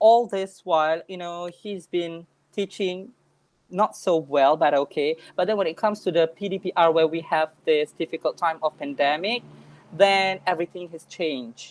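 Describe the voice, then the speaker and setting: A woman speaks with a Malaysian accent. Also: big swings in loudness. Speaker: English teacher. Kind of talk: online workshop talk.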